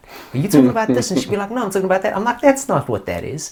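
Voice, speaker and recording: A man speaks at a very fast pace with vocal fry. His pitch swings very widely. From South Africa, Johannesburg. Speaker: musician. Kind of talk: interview. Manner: casual, rambling with fillers.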